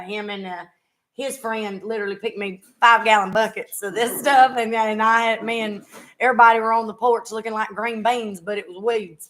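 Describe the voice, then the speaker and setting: At a moderate pace, a woman with a strong Southern US accent talks in a fairly high pitch with fairly even intonation. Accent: thick Southern US. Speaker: podcast host, former singer. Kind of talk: casual chat. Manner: casual, halting.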